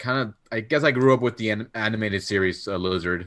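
Using a normal speaking voice, a man talks at a fairly quick pace in a medium pitch with lively intonation. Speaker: podcast guest. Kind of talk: casual chat.

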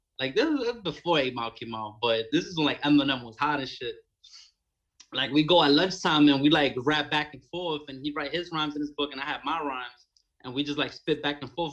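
Speaking with a Brooklyn accent at a fairly quick pace, a man uses a fairly high pitch, his loudness swinging widely. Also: ordinary pitch variation. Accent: New York (Brooklyn). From New York, Bushwick, Brooklyn. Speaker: rapper. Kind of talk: casual chat.

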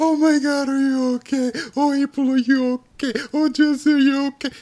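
At a moderate pace, a man does a put-on character voice pitched extremely high, with monotone, flat intonation. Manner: mocking, whiny, overly concerned.

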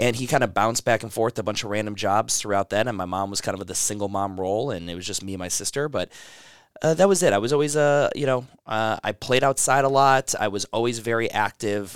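On a very clean recording with a silent background and a dry, close sound with no echo, a man with an ordinary speaking voice and an American accent talks fairly quickly at a medium pitch, with ordinary pitch variation. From US Midwest, Cleveland, Ohio. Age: 30s. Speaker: gym owner and fitness entrepreneur. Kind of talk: casual interview. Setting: in person at a gym.

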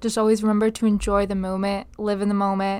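Here is a woman with a normal speaking voice and an American accent. She talks at a fairly high pitch and a fairly quick pace. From Upstate New York, Binghamton. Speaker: college volleyball player. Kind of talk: casual interview.

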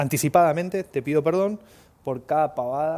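A man with a Rioplatense accent speaks at a moderate pace. His tone is dark and mellow, with ordinary pitch variation. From Argentina. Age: 30s. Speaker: podcast host. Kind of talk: casual monologue; storytelling.

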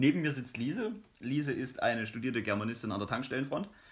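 His pitch rises and falls in an ordinary way as this man rushes along very fast. There is a somewhat breathy quality to his voice. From Saxony, eastern Germany. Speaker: podcast co-host, student. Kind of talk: casual chat.

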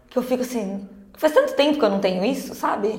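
A woman talks at a fairly high pitch with ordinary pitch variation, her voice carrying an audible room echo. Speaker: podcast co-host. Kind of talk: casual chat.

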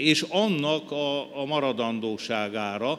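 This man speaks in a fairly high pitch with ordinary pitch variation. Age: 70s. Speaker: poet. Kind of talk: interview.

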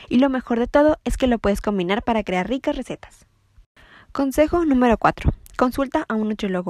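At a fairly quick pace, a woman with a high pitch and lively intonation speaks in a dry, close sound with no echo. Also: very clean recording, silent background. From Mexico, Ensenada, Baja California. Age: young. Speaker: nutrition student. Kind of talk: scripted tips monologue.

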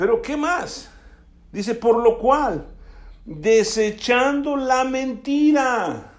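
The speech moves at a very slow pace. Room echo is audible. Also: man, extremely high pitch for a man, ordinary pitch variation. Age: 60s. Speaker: pastor. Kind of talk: sermon.

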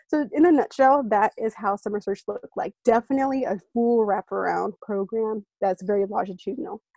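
In an American accent, a woman speaks with a fairly high pitch, a dark, mellow tone and ordinary pitch variation, the sound dry and close with no echo. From San Francisco Bay Area (East Bay). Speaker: education program worker. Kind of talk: interview. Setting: remote call.

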